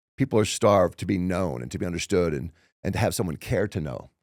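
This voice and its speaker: On a very clean recording with a silent background, a man speaks at a very fast pace with vocal fry. The sound is dry and close, with no echo. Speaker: motivational speaker. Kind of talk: casual chat. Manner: slurred.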